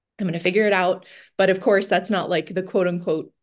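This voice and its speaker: A woman with a Californian accent against a quiet background. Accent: Californian American. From US West Coast, San Francisco Bay Area. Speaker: financial coach. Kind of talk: casual interview chat.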